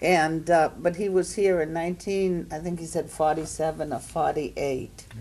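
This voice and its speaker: A woman speaks with a very deep, low pitch and a dark, mellow tone. Her pace is moderate, her intonation fairly even, and she hardly pauses. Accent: Maine. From Maine, Portland. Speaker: panelist. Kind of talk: storytelling at panel discussion.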